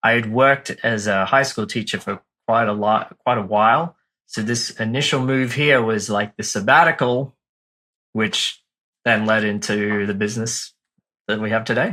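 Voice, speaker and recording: A man with an Australian accent, bright, sharp tone and moderate pace, in a very clean recording with a silent background. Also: medium pitch for a man, fairly even intonation. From Australia, Brisbane. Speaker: marketing firm founder, former teacher. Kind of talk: podcast interview.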